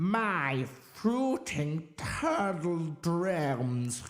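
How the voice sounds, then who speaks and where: This is a man using a put-on character voice. His pitch is high. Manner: impassioned, strident.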